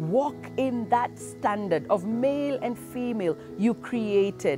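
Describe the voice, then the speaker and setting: A woman speaks in a dry sound with no echo, clear music playing in the background. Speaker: minister. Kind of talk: sermon and prayer. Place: garden.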